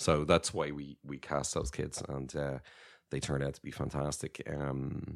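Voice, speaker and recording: A man with an Irish accent speaks with vocal fry. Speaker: animation studio co-founder. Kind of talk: casual interview. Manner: hesitant, many fillers.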